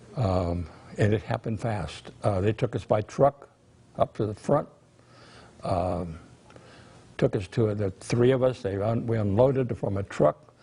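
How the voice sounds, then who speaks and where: A man's dark, mellow voice with an American accent, somewhat breathy, at a fairly slow pace. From California Central Valley, Reedley. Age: 90s. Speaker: war veteran. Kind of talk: testimony. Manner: halting.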